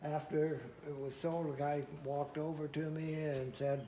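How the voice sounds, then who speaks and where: A man speaks very slowly at a fairly high pitch, his intonation monotone and flat. The tone is dark and mellow and somewhat breathy. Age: 80s+. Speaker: antique tractor collector. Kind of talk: interview answer.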